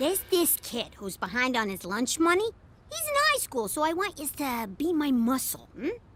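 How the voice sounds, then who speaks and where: A woman's cartoonish character voice, high in pitch, with very wide pitch swings. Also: moderate pace. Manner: brash, bossy, streetwise slang.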